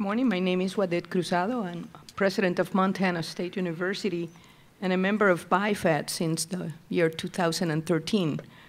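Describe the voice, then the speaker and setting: A woman speaks in a Puerto Rican accent at a medium pitch. Her intonation stays fairly even. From Puerto Rico. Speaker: university president, board member. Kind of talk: formal introduction at public meeting. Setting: public meeting with audience.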